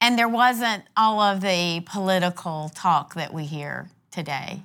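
Here is an ordinary speaking voice from a woman, medium in pitch. She speaks fairly slowly. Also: very clean recording, silent background. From South Carolina (Conway), born in North Carolina. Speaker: state legislator. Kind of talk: interview. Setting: in person across a table.

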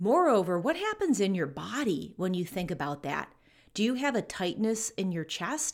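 A woman with a normal speaking voice, medium pitch and lively intonation at a moderate pace, on a very clean recording with a silent background. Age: 50s. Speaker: business and leadership coach. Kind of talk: solo podcast monologue.

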